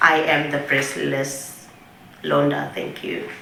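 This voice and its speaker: Over noticeable background noise and audible room echo, a woman with a Swazi accent speaks very slowly in a very deep, low voice. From Eswatini. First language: siSwati. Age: 30s. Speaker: breast cancer survivor. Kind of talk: testimony.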